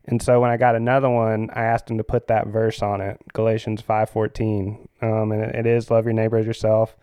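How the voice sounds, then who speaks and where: A man with a Southern US accent speaks at a medium pitch in a monotone, flat intonation. He goes at a fairly quick pace with hardly any pauses. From US South, Florida Panhandle (Pensacola/Pace). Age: 30s. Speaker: surf shop manager and surf camp leader. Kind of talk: casual interview. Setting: studio. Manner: hesitant, many fillers.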